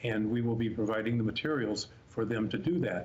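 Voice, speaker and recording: A man's medium-pitched, somewhat breathy voice proceeds at a moderate pace. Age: 70s. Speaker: special education professional. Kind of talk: interview.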